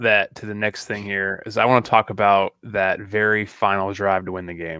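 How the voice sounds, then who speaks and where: Heard in a very clean recording with a silent background, a man with an American accent speaks at a moderate pace and a fairly low pitch. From Missouri (Kearney). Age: 30s. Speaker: podcast co-host. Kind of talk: casual chat.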